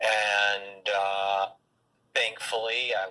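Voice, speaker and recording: A man speaks with an American accent. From Michigan, Detroit area. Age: 40s. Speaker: medical student and former finance manager. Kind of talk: interview. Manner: halting, many fillers.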